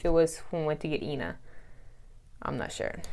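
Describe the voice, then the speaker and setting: A woman speaks with a fairly low pitch. Her pace is fairly quick. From Russia, then US South. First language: Russian. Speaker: vlogger. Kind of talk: storytime vlog. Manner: casual, chatty.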